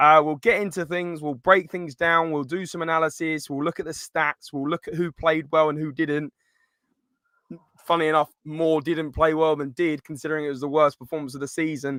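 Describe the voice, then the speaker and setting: Fairly high-pitched male voice with an English accent, a bright, sharp tone, monotone, flat intonation and a fairly quick pace. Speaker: football podcast host. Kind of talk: live stream match review.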